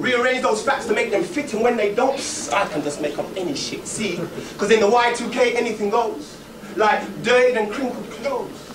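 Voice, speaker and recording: Noticeable background noise runs through the clip. The talking moves at a moderate pace. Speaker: spoken word poet. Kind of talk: spoken word poetry performance. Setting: live stage performance.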